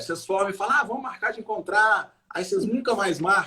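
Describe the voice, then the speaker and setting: With a Minas Gerais accent, a man speaks in a raised, projected voice with a bright, sharp tone at a fairly quick pace. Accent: Mineiro Brazilian Portuguese. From Brazil, Minas Gerais (Belo Horizonte). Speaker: comedian. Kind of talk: casual chat.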